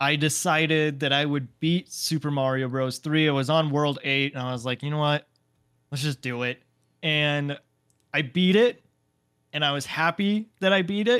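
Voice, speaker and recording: On a very clean recording with a silent background and a dry, close sound without echo, a man with an unremarkable speaking voice talks at a moderate pace in a fairly high pitch with ordinary pitch variation. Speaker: gaming podcast co-host. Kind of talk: casual chat.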